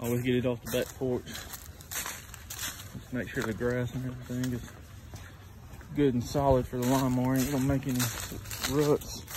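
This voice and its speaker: With an American accent, a man talks at a moderate pace and with fairly even intonation over noticeable background noise. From US South, Mississippi. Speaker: lawn care business owner, vlogger. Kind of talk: walkthrough vlog narration. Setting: outdoors, customer's yard. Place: garden. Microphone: phone near.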